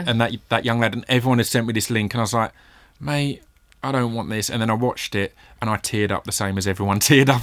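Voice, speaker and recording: In a very clean recording with a silent background, a man speaks at a very fast pace. His pitch is medium, with ordinary variation. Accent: English. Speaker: hip-hop artist. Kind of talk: interview answer. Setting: studio.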